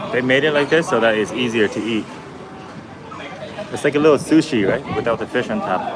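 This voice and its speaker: With a slight Vietnamese accent, a man talks at a fairly quick pace and medium pitch, his lively intonation broken by long, frequent pauses over noticeable background noise. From Canada. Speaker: travel vlogger. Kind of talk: live-stream chat with viewers. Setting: restaurant balcony. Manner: casual, with many fillers.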